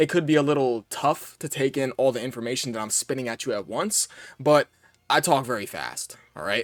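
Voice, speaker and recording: An animated man is captured on a very clean recording with a silent background, the sound dry and close with no echo. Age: young. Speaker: gaming video creator. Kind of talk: casual commentary. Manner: fast.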